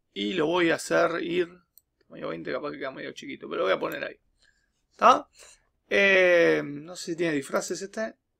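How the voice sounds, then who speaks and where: Against a quiet background, the speech moves at a moderate pace with long, frequent pauses. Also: man. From Uruguay. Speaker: teacher making programming tutorials; teacher. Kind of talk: tutorial. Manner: casual, with frequent fillers and repetitions. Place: home room. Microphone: webcam.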